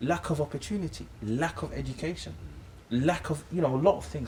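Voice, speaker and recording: Vocal fry runs through this fairly quick speech in a London accent. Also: man. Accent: London English, multicultural London. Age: 20s. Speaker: Islamic teacher. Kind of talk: casual chat. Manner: halting, repetitive.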